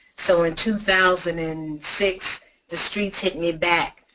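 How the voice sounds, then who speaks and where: The voice has a New York accent and ordinary pitch variation. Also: woman. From New York City, Brooklyn. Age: 60s. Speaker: patient advocate. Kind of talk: testimony. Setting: webinar. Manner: animated.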